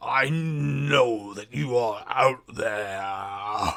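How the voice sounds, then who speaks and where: Putting on a character voice, a man growls in a fairly low, gravelly, raspy tone that sounds menacing, with very wide pitch swings. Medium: actual play.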